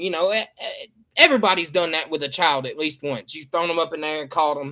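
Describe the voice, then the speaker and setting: A man's fairly high voice with a Southern US accent, bright and sharp in tone, with lively intonation at a very fast pace. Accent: real Southern. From US South. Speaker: livestreamer. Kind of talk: casual chat. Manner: animated.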